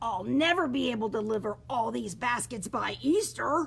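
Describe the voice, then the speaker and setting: A woman's raspy, put-on character voice, fairly high in pitch, at a moderate pace over clear background noise. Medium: read story.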